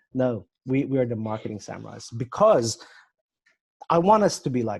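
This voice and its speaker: With an Australian accent, a man talks at a fairly slow pace. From Australia, Sydney. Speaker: marketing agency owner. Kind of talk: casual chat. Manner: halting, many repetitions.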